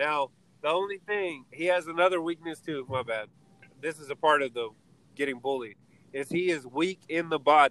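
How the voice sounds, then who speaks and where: In an ordinary speaking voice, a man with a fairly high pitch talks at a moderate pace with ordinary pitch variation, the sound dry and close with no echo. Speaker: podcast host. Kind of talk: casual banter between friends. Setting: in a car, driving, audio not great. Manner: laid-back, laughs often.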